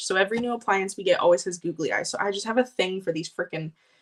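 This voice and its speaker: Delivery is animated in tone and very fast in pace. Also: woman. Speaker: vintage collector livestreamer. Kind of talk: live stream haul.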